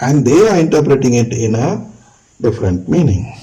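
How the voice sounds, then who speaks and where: Somewhat breathy, a man talks in a dark, mellow tone. Room echo can be heard. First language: not English. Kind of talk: lecture. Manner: halting.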